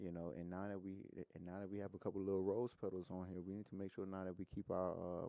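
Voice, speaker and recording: A man with a Louisiana accent talks very fast in a very deep, low voice, his tone dark and mellow and his intonation flat and monotone. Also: hardly any pauses. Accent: Southern US, Louisiana. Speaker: rapper. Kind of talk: podcast interview answer. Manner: casual, conversational.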